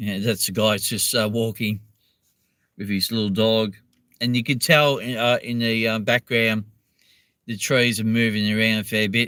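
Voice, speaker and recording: A man with a medium-pitched voice and a bright, sharp tone speaks at a moderate pace in a monotone, flat intonation. Long pauses come often, and the recording is very clean with a silent background. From Australia (Melbourne). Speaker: live streamer, drone video creator. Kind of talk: casual live stream chat. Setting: in a car. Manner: hesitant, many fillers.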